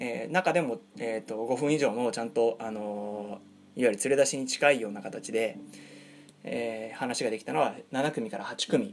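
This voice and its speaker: A plain, everyday voice with ordinary pitch variation, spoken at a moderate pace. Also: man, medium pitch for a man. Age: 30s. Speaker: podcast host, pickup artist. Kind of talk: monologue storytelling. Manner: many fillers (えー); polite, formal.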